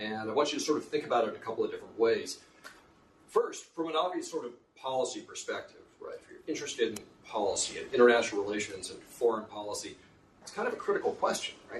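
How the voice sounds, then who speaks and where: A man with an American accent talks at a very fast pace with big swings in loudness. Audible room echo colors the recording. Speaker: professor. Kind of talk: lecture.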